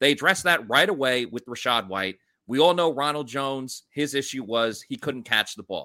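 A man with a New York accent speaks at a medium pitch and moderate pace, with lively intonation. The recording is very clean and dry, close with no echo, over a silent background. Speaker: sports podcast host. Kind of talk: casual sports chat.

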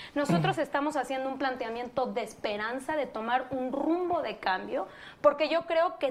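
The speaker is a woman with a high-pitched voice. Her pitch varies in an ordinary way. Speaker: political campaign spokeswoman. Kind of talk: political debate.

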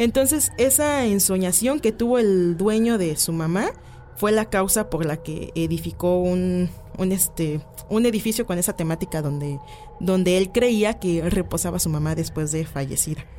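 A woman speaks at a moderate pace with a medium pitch and lively intonation, and there is noticeable background noise. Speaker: paranormal folklore page creator. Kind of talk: radio interview. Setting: studio.

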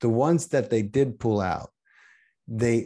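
A man speaks at a medium pitch and a moderate pace, with a dark, mellow tone. The background is quiet. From northeastern Pennsylvania, near Allentown. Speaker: actor-producer and podcaster. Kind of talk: casual chat.

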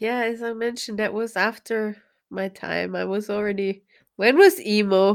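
A woman with a normal speaking voice talks at a moderate pace and a fairly high pitch, her intonation fairly even. The recording is very clean, with a silent background. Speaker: podcast host. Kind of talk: casual chat. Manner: laughs often.

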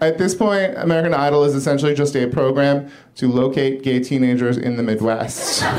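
With noticeable background noise behind him, a man talks at a fairly quick pace, his fairly high pitch showing ordinary variation. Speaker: comedian. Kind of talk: stand-up. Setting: stage with audience.

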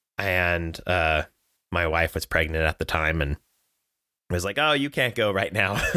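A man with a Californian accent speaks at a fairly slow pace with long, frequent pauses, his very deep, low pitch carrying a bright, sharp tone and ordinary pitch variation. The sound is dry and close with no echo, and the recording is very clean with a silent background. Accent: Californian American English. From Southern California. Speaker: travel company sales director. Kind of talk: casual chat.

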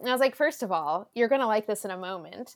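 A woman races along at a very fast pace with a Southern California accent and very wide pitch swings. The recording is very clean, with a silent background. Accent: Southern Californian American English. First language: Spanish. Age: 20s. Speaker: actor and content creator. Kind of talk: casual podcast interview. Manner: loud.

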